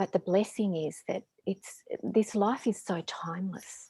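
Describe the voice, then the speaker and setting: Speaking at a fairly slow pace in an Australian accent, a woman has a medium-pitched, dark, mellow voice with vocal fry and ordinary pitch variation, in a dry, close sound with no echo. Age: 50s. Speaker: spiritual teacher and author. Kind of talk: casual chat.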